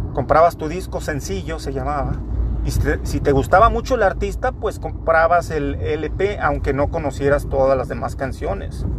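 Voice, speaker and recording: The man's moderate pace is heard through noticeable background noise and audible room echo. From Torreón, Coahuila, northern Mexico. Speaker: podcaster. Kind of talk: casual monologue.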